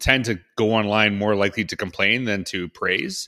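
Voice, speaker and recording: With a Canadian accent, a man speaks at a fairly slow pace in a fairly low pitch with a bright, sharp tone, on a very clean recording with a silent background. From Saskatchewan, Canada. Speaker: educator and keynote speaker. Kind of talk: interview.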